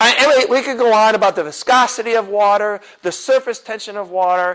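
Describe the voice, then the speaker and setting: On a very clean recording with a silent background, a man with a high voice sounds animated, his pitch swinging very widely. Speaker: apologetics teacher and chemistry professor. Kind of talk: lecture. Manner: fast.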